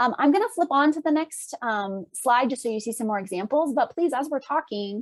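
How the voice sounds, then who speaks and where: A woman speaks at a fairly quick pace with hardly any pauses, a high pitch and lively intonation, in a dry, close sound with no echo. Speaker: clinical psychologist. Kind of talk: lecture. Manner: fast; halting.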